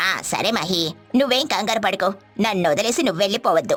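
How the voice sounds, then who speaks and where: This is a cartoonish character voice that sounds female. Faint music plays in the background. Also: medium pitch for a woman, moderate pace. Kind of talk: cartoon bedtime story.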